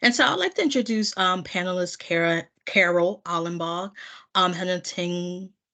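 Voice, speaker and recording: A woman with a Philadelphia accent and a fairly low pitch speaks at a moderate pace over a quiet background. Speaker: webinar moderator. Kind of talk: webinar moderation. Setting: video call. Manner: frequent filler 'um'.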